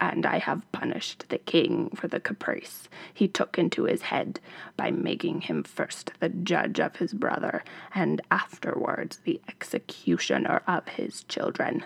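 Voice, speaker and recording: A man whispers in a put-on character voice at a moderate pace. The sound is dry and close, with no echo. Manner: commanding, triumphant.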